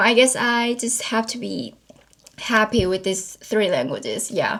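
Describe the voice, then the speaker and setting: Her pace is fairly slow, with ordinary pitch variation. The woman's voice sits fairly high. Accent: Korean. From South Korea, Seoul. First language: Korean. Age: 20s. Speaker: YouTuber. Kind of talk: casual Q&A vlog.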